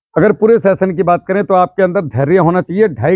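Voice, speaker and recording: Here is a man with a high pitch. He keeps a moderate pace. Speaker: farming trainer, ex-army farmer. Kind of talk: village farmer workshop talk. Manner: loud.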